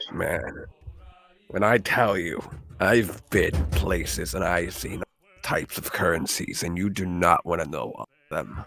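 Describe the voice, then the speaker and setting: A man puts on a character voice that is raspy and very deep and low in pitch. He moves at a moderate pace with ordinary pitch variation. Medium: actual play. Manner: hesitant, chatty.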